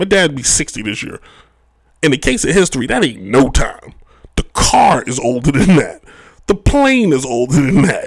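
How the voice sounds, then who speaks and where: Speaking at a moderate pace, a man with a fairly high voice lets his pitch swing very widely. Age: 30s. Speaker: sports podcast host. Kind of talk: solo podcast monologue. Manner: animated.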